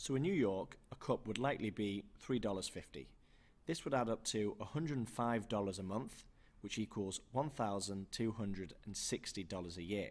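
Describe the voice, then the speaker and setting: With a British accent, a man talks at a moderate pace. His pitch is fairly low, with ordinary variation. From UK. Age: young. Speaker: investing channel co-host. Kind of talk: scripted presentation.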